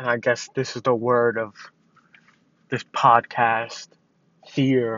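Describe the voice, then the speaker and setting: A man speaks at a very slow pace with long, frequent pauses. His medium pitch stays in a monotone, flat intonation. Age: 20s. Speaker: podcaster sharing personal mental health struggles. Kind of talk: personal monologue. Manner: rambling, halting.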